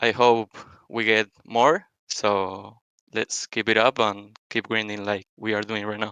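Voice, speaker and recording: In a quiet background, a man with a non-native accent talks at a medium pitch and a fairly slow pace, his bright, sharp tone captured in a dry, close sound with no echo. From Argentina. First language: Spanish. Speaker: college esports player. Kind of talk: post-match interview. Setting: voice chat call.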